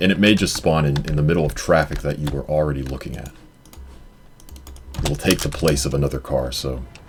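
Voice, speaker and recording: Long, frequent pauses break up the fairly quick pace. Noticeable background noise can be heard throughout. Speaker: speedrunner. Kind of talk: live gameplay commentary. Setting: live-streamed marathon event.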